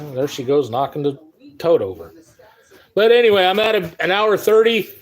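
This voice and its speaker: A man speaks in a high voice with an American accent. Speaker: live streamer, sports card collector. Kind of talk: casual live stream chat.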